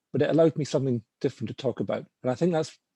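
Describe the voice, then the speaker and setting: In a Scottish accent, the speaker goes at a very fast pace with a dark, mellow tone and ordinary pitch variation, the sound dry and close with no echo over a quiet background. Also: man. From Scotland. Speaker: finance professional. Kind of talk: webinar panel talk. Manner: halting.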